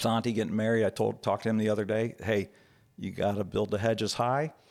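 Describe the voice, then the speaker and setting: A man at a fairly low pitch and fairly quick pace, with music in the background. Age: 60s. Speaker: church elder, father. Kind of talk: personal testimony in interview.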